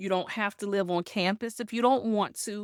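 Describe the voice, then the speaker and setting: With an American accent, a woman uses an ordinary speaking voice at a medium pitch with lively intonation, captured dry and close with no echo on a very clean recording with a silent background. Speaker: guest, resilience mentor and speaker. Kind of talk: interview answer, personal story.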